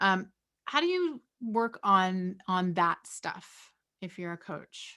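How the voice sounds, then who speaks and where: At a very slow pace, a woman speaks at medium pitch with a bright, sharp tone, ordinary pitch variation and big swings in loudness. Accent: Canadian. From Nova Scotia, Canada. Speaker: sports broadcaster, panel moderator. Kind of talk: panel moderation.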